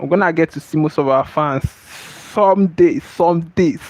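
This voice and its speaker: Lively intonation in a dry, close, echo-free sound with noticeable background noise. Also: man. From Nigeria. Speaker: streamer and motivational teacher. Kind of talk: livestream casual chat.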